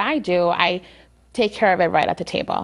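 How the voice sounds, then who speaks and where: A woman speaks with a Spanish accent at a moderate pace, with ordinary pitch variation. The background is quiet. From Lawrence, Massachusetts. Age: young. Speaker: attorney. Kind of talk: interview. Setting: studio.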